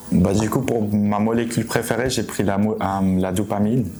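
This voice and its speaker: Music plays in the background as a man talks at a moderate pace with a fairly low pitch. His delivery is monotone and flat, and the room echo is audible. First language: German (speaking French). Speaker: university student. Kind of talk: student testimonial. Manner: hesitant, with many fillers.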